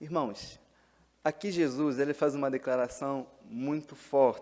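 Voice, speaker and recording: Talking at a fairly slow pace in an Angolan accent, a man uses a fairly high pitch, a dark, mellow tone and fairly even intonation. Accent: Angolan Portuguese, noticeable. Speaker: pastor. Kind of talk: sermon.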